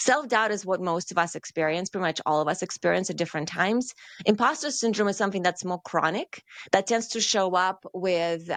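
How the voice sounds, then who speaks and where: Dry and close with no echo, a woman's medium-pitched voice races along at a very fast pace with ordinary pitch variation. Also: quiet background. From Russia. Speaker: career coach. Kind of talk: podcast interview.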